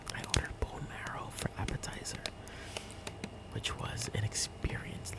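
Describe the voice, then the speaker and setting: A man whispers at a fairly slow pace in a relaxed tone. Noticeable background noise runs underneath. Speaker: ASMR content creator. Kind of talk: casual soft-spoken ramble to camera. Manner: soft-spoken, whispery, relaxed.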